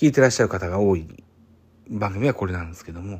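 A very clean recording of a man, the background completely silent. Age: 40s. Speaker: podcaster. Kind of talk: casual solo podcast talk. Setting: late-night solo recording. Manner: many fillers.

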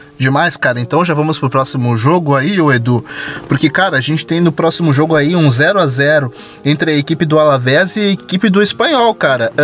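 Music runs behind a man speaking at a fairly quick pace. His loudness stays very even. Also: fairly high pitch for a man, ordinary pitch variation. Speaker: football podcast host. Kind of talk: casual football chat. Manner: animated.

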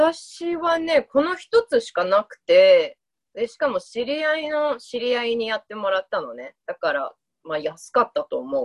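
A woman's voice comes through dry and close, with no echo. Her loudness swings widely. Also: moderate pace. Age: 30s. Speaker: podcast co-host. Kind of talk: casual chat.

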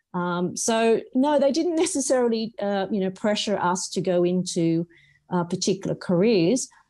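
A woman with an Australian accent speaks at a moderate pace in a dark, mellow tone. Her intonation is lively, and the background is quiet. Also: medium pitch for a woman. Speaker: non-executive director. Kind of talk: interview. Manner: hesitant, filler-heavy.

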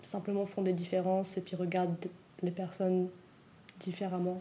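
Dark, mellow female voice of medium pitch at a moderate pace. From Switzerland (Vaud), South American family. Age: 20s. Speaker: youth group leader. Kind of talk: interview testimony.

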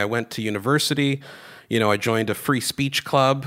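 Heard on a very clean recording with a silent background, a man talks in a normal speaking voice at a medium pitch and a moderate pace, with ordinary pitch variation. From Canada and Greece (grew up on a Greek island). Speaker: political commentator and free speech activist. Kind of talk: interview.

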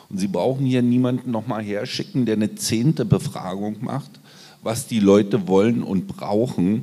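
This man has a dark, mellow tone with vocal fry and a fairly low pitch. He speaks at a moderate pace with lively intonation. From eastern Germany (Cottbus). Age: 50s. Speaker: social worker. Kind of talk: live panel discussion. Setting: stage with live audience.

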